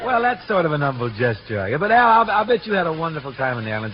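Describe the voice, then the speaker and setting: Over noticeable background noise, a man with an American accent races along at a very fast pace with hardly any pauses and very wide pitch swings. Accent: mid-century American. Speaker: radio show host and crooner. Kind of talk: radio comedy routine with banter.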